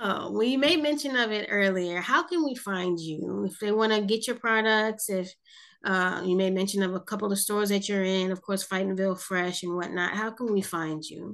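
A woman talks at a moderate pace and medium pitch, with an American accent and ordinary pitch variation. It is an ordinary speaking voice, set against a quiet background. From South Jersey, US. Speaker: podcast host. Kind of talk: interview.

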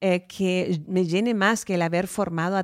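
A woman speaks at a fairly slow pace in a medium pitch, with a plain, everyday voice. The recording is very clean, with a silent background. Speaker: podcast host. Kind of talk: casual chat; talk show monologue.

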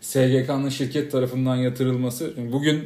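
Audible room echo surrounds a man speaking at a medium pitch. His pace is moderate and his intonation fairly even. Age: 30s. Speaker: podcast co-host, freelance marketer. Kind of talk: casual chat.

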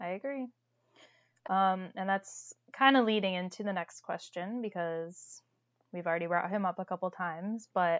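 A woman with an American accent speaks at a moderate pace and medium pitch, her pitch varying in an ordinary way. The sound is dry and close with no echo against a quiet background. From Toledo, Ohio. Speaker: podcast co-host. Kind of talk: casual chat.

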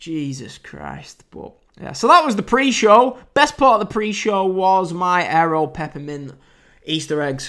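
High-pitched man with a British accent, a bright, sharp tone and very wide pitch swings. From United Kingdom. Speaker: wrestling podcast host. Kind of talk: casual podcast recap and review. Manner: casual, chatty.

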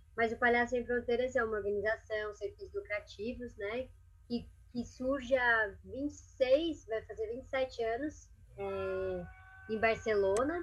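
A woman's high-pitched voice, fairly slow in pace, with ordinary pitch variation. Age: 30s. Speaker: clown and NGO director. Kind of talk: casual interview.

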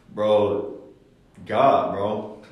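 There is audible room echo and noticeable background noise as a man speaks with an American accent. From Columbus, Ohio (east side). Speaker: rapper and golfer. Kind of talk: casual chat.

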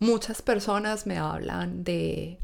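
A speaker talks with an Antioquian accent. The recording is very clean, with a silent background. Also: woman. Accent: Colombian paisa Spanish. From Colombia, Medellín (paisa). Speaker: engineer. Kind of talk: casual interview. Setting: in person, recording together.

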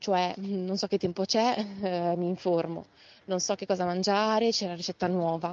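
Intonation is monotone and flat. The pace is moderate. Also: woman. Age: 30s. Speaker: educator. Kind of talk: interview. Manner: halting.

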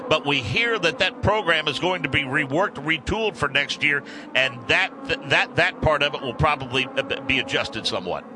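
The speaker moves at a fairly quick pace with very wide pitch swings. Noticeable background noise runs underneath. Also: man, fairly high pitch for a man. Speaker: radio network lead announcer. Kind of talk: live radio race broadcast anchoring.

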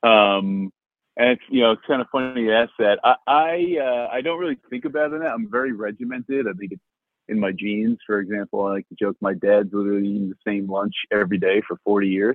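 At a fairly quick pace, a man talks in a normal speaking voice with a fairly low pitch and ordinary pitch variation. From New Jersey. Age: 30s. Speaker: venture capital investor. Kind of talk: interview.

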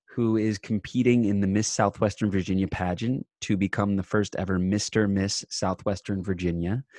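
A man with an American accent and a fairly low pitch, at a moderate pace, in a dry, close sound with no echo and a quiet background. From US Northeast (Long Island, New York). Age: 30s. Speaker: actor and comedian. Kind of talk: casual chat. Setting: video call. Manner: animated.

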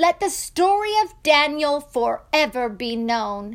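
A woman's put-on character voice, high-pitched, slow, with big pitch swings

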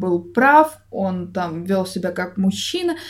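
Very slow, somewhat breathy speech from a woman. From Russia. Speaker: podcast co-host. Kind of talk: casual chat.

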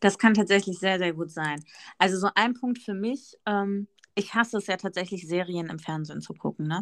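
In a very clean recording with a silent background, a woman with a normal speaking voice talks at a moderate pace, her medium pitch showing ordinary variation. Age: 30s. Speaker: podcast co-host, dog owner with therapy dog. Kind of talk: casual chat.

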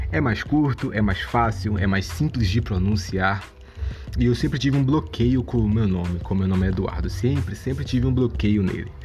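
A man with a very deep, low pitch talks at a moderate pace, his pitch swinging very widely. Music plays in the background, and the room echo is audible. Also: very even loudness. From Salvador, Bahia, Brazil. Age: 20s. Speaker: podcaster. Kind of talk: casual monologue. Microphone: amateur recording, low quality.

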